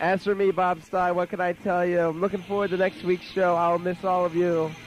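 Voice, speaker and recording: With noticeable background noise, a man speaks at a fairly quick pace in a high voice, his loudness very even throughout. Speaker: college radio DJ. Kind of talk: radio show. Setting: radio studio. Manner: animated.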